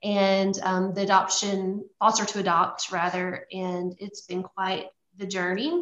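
A woman with a Louisiana accent speaks at a fairly slow pace and medium pitch, her intonation fairly even. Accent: Louisiana Southern. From US South, Louisiana. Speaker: missionary. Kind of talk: testimony.

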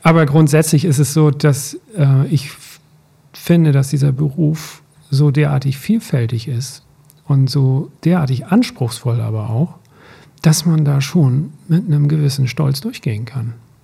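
A man with a fairly high pitch and ordinary pitch variation talks at a fairly slow pace, his dark, mellow tone somewhat breathy. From rural Germany, grew up on a farm. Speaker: teacher, podcast co-host. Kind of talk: casual chat. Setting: studio, sitting face to face.

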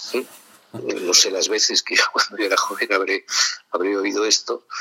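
The sound here is dry and close, without any echo. A man speaks at a moderate speed. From Spain, Madrid. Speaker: author and ecologist thinker. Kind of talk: interview. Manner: halting, many repetitions and fillers.

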